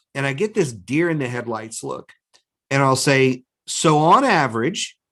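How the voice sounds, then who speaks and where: This man has a plain, everyday voice, fairly high in pitch. He talks at a moderate pace with lively intonation. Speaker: business coach. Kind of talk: webinar talk.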